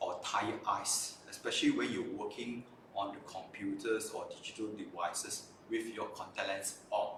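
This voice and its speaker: A man at a moderate pace, with audible room echo. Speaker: optometrist hosting a live stream. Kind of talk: live stream presentation. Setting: live stream.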